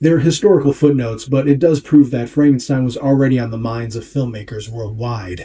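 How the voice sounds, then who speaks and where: With hardly any pauses, a man talks at a fairly quick pace and medium pitch, his tone dark and mellow, somewhat breathy, with ordinary pitch variation. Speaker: video essayist and painter. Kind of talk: scripted narration. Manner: self-described sloppy diction.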